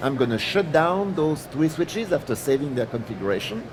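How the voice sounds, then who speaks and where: With a French accent and very wide pitch swings, a man talks at a fairly high pitch amid noticeable background noise. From France. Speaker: product line manager presenting. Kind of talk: technical presentation. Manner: halting, many fillers.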